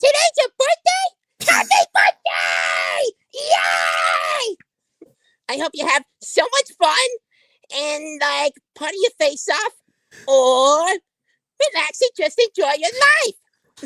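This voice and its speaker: Shouting in a put-on character voice, a female-sounding voice hits an extremely high pitch at a very slow pace. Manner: cheery, bubbly.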